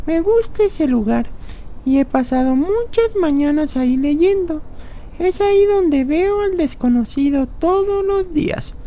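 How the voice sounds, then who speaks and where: A woman does a put-on character voice at an extremely high pitch, talking at a fairly slow pace over clear background noise. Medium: audio drama.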